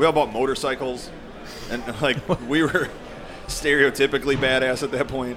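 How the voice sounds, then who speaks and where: A man with an American accent at a moderate pace, fairly even intonation, long and frequent pauses, and noticeable background noise. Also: medium pitch for a man. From Colorado. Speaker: information security professional. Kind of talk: casual chat.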